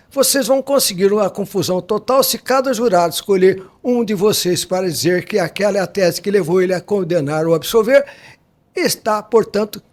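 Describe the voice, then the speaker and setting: Intonation here is lively. The delivery moves at a moderate pace. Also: man. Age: 80s+. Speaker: criminal defense lawyer. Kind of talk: interview.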